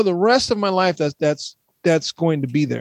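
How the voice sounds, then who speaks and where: A high-pitched man with an American accent, in a dry, close sound with no echo. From Texas. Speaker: podcast co-host. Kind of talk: casual chat. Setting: video call.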